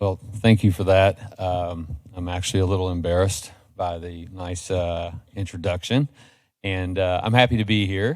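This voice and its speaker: A man with an American accent and a very deep, low pitch, fairly even intonation at a moderate pace, on a very clean recording with a silent background. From Kentucky, Frankfort. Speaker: nonprofit education leader, panelist. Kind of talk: panel presentation.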